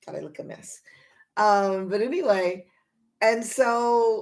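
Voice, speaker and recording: Her voice fairly high for a woman, she speaks with an American accent in an animated tone. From US West, Los Angeles. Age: 70s. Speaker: lifestyle coach and vlogger. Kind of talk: casual vlog monologue. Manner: animated, halting with many fillers.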